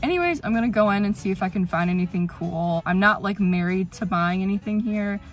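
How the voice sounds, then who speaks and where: A woman speaks at a fairly quick pace with hardly any pauses and fairly even intonation. The sound is dry with no echo, with faint music in the background. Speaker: vlogger. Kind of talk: casual vlog chat. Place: car. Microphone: phone near.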